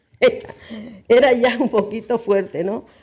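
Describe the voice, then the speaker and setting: This woman's voice has a dark, mellow tone with vocal fry. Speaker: journalist and agency director. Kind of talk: panel talk.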